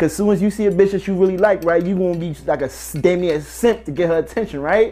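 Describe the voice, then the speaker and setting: A man with a New Jersey accent talks at a very fast pace in a high pitch, with ordinary pitch variation. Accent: New Jersey urban American English. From New Jersey (Elizabeth). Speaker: rapper. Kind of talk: casual interview.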